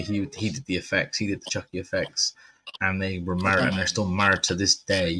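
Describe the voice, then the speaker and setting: On a very clean recording with a silent background, a man with an English accent speaks at a fairly low pitch. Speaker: horror movie podcast host. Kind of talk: casual chat.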